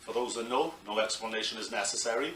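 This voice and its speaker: Amid noticeable background noise and audible room echo, a man with a Welsh accent talks at a moderate pace. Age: 40s. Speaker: professional wrestler. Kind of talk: interview.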